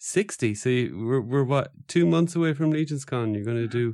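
In a very clean recording with a silent background, a man with a dark, mellow tone uses lively intonation at a fairly slow pace. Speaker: podcast host. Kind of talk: casual interview chat.

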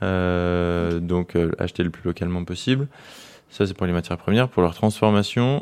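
A man's very deep, low voice. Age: 20s. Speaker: soap maker and business owner. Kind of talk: casual interview chat.

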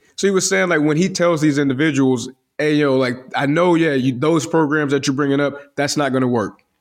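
Speaking in an American accent, a man with a fairly high pitch moves at a fairly quick pace, with ordinary pitch variation and very even loudness. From US Midwest, south side of Chicago. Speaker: podcast host. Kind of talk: casual solo monologue. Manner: animated.

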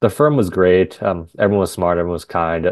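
A man at a very fast pace, with a very deep, low pitch. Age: 30s. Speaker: tech startup founder. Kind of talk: interview. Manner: articulate.

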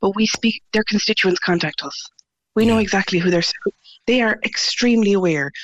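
A woman with an Irish accent at a fairly quick pace, broken by long, frequent pauses. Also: medium pitch for a woman, ordinary pitch variation. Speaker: parent campaigner. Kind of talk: interview. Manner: confident.

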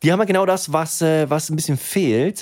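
The delivery has an animated tone and a moderate pace. The recording is very clean, with a silent background. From Germany, Swedish family. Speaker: podcast co-host. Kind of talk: casual chat.

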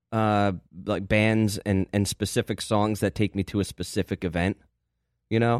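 In an American accent, a man with a normal speaking voice talks at medium pitch and a moderate pace on a very clean recording with a silent background. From New Jersey, US. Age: 40s. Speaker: podcast host. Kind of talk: casual chat.

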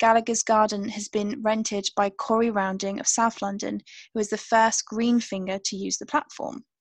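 Over a quiet background, a woman with a British accent speaks at a moderate pace, her fairly high voice fairly even in intonation and the sound dry and close with no echo. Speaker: podcast co-host. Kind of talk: casual chat.

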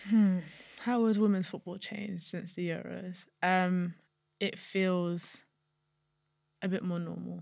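With a London accent, a woman of medium pitch speaks at a very slow pace in a monotone, flat intonation, leaving long, frequent pauses. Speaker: footballer, national team captain. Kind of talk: casual interview.

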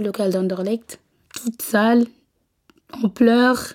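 A woman takes a fairly slow pace, keeping her intonation fairly even. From West Africa. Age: 20s. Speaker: domestic abuse survivor. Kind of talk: personal testimony. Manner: halting, with filler hesitations.

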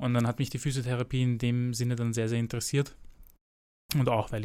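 In a very clean recording with a silent background, a man speaks fairly quickly at medium pitch in a dark, mellow tone. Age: 20s. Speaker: physiotherapist and personal trainer. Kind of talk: expert interview.

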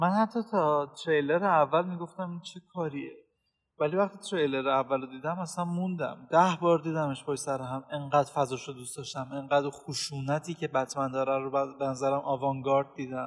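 A man with a plain, everyday voice speaks at a fairly high pitch and a moderate pace, with ordinary pitch variation, big swings in loudness and hardly any pauses. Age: 20s. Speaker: podcast host. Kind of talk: casual chat.

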